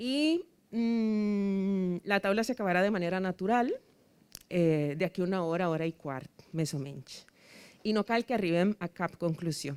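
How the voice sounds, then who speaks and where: Dry and close with no echo, a woman's medium-pitched voice has lively intonation at a fairly slow pace. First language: Spanish (speaking Catalan). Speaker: debate moderator. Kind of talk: moderating a public debate. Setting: rooftop event with live audience. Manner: hesitant, many fillers.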